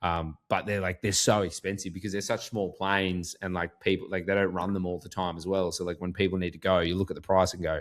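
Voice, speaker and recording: A man's very deep, low voice in an Australian accent, very fast and flat in a monotone, on a very clean recording with a silent background. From Australia, rural Queensland (Goondiwindi). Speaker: sports podcast host. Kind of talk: casual chat.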